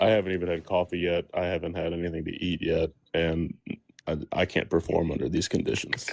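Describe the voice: A man's very deep, low voice, monotone and flat, at a fairly quick pace.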